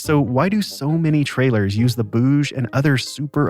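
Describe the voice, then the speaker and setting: With music in the background, a man at medium pitch speaks at a moderate pace and ordinary pitch variation. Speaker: podcast host. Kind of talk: podcast narration.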